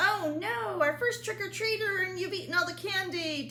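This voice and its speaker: A squeaky, put-on character voice moves at a moderate pace over clear background noise. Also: woman. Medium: read story. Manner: fretful, easily alarmed.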